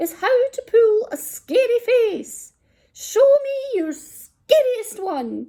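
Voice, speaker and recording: Putting on a squeaky character voice, a woman talks very slowly at an extremely high pitch. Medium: read story. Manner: harsh, mocking.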